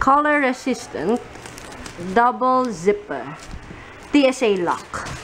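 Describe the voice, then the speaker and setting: The delivery is fairly slow. Behind it, background noise is noticeable. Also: woman. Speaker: vlogger. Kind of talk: casual vlog. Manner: casual, chatty.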